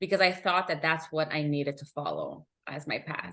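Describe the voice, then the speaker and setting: A woman with a Quebec accent, a bright, sharp tone and ordinary pitch variation. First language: French (Italian learned first). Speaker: emotional intelligence coach. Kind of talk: interview.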